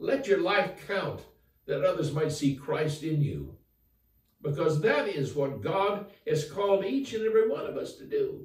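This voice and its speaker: A man speaks at a high pitch and a fairly slow pace. The background is quiet, with audible room echo. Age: 80s+. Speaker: former college football player, author. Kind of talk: interview answer, inspirational message. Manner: earnest, upbeat. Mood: earnest, encouraging. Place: home room. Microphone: camera far.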